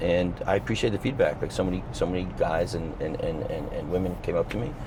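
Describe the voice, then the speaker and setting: Amid noticeable background noise and audible room echo, a man speaks at a very fast pace with hardly any pauses. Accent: American. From New Jersey. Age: 50s. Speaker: sales leader. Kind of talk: podcast interview.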